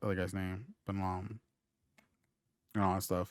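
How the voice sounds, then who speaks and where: A mumbling man at a fairly low pitch and a fairly quick pace. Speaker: podcast host. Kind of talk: casual chat.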